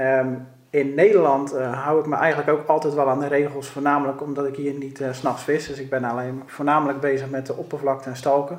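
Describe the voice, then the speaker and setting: The speaker talks at a fairly quick pace with monotone, flat intonation. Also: man. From Netherlands, Rotterdam. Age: 30s. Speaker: police officer and carp angler. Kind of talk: podcast interview.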